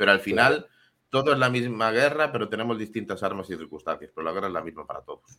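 A man at a very fast pace with hardly any pauses, medium pitch, lively intonation, a bright, sharp tone and big swings in loudness. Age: 20s. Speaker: programmer and co-host. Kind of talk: casual chat. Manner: animated.

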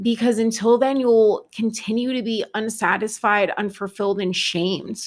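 Fairly high-pitched speech from a woman in an unremarkable speaking voice, at a moderate pace with hardly any pauses and fairly even intonation, on a very clean recording with a silent background. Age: 30s. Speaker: podcast host and mindset coach. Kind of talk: solo podcast monologue.

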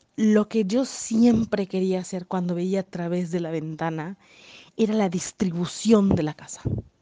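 A woman talks at a fairly slow pace in a medium pitch, with ordinary pitch variation. Her tone is animated and her loudness swings widely. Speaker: podcaster, real estate agent. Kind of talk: casual monologue.

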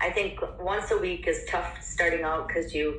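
A woman with an American accent talks over noticeable background noise, with audible room echo. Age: 50s. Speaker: personal trainer. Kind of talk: interview.

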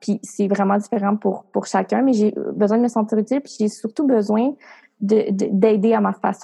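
A woman with a fairly high pitch speaks in a dark, mellow tone, somewhat breathy, her intonation monotone and flat. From Quebec, rural Portneuf area. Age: 20s. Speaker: entrepreneur and coach. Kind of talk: interview.

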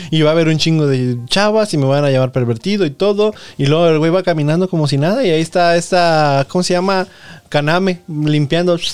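A man speaks at a fairly quick pace. His pitch is fairly high, and his loudness stays very even. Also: ordinary pitch variation. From Mexico, Nayarit. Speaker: podcast host. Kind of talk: casual chat. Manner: animated.

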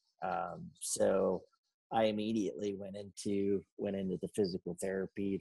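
A man with an American accent speaks in a monotone, flat intonation at a fairly low pitch. His tone is dark and mellow, and the sound is dry and close with no echo. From Ohio, US (Salem). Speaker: army veteran, former military parachutist. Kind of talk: storytelling interview.

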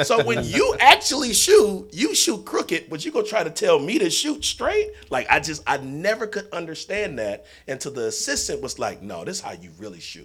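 With an American accent, a man talks at a moderate pace with hardly any pauses and big swings in loudness. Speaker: basketball coach. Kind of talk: casual chat.

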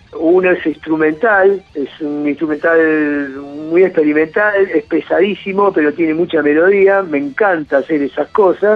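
Music plays behind a man speaking in a Rioplatense accent at a fairly slow pace. His pitch sits fairly high and his intonation stays fairly even. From Argentina. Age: 50s. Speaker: rock musician. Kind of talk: casual interview.

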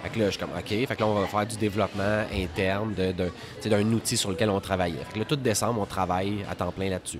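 In a Quebec accent, a man talks at a very fast pace with a fairly low pitch. His intonation stays fairly even, and there is noticeable background noise. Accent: Québécois French. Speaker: entrepreneur, web maintenance company cofounder. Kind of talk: casual interview.

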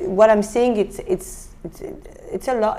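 With a French accent, a woman speaks fairly quickly at a fairly high pitch with ordinary pitch variation over noticeable background noise. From France, Beauvais near Paris. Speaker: photographer. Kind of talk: interview. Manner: animated.

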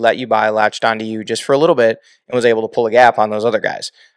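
At a very fast pace, a man with a medium-pitched voice talks with fairly even intonation, in a dry, close sound with no echo over a quiet background. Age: 40s. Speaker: podcast host, retired off-road racer. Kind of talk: casual chat. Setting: studio.

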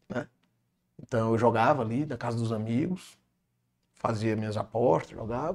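His speech at a middling speed stays at a medium pitch for a man, with normal rises and falls. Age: young. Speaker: businessman and engineer. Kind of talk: interview, personal testimony.

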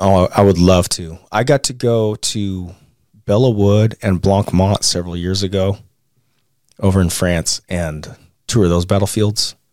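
This man has an unremarkable speaking voice, fairly low in pitch, and he talks at a fairly slow pace. The sound is dry and close, with no echo. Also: fairly even intonation, very clean recording, silent background. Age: 30s. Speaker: war veteran and podcaster. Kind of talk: interview storytelling.

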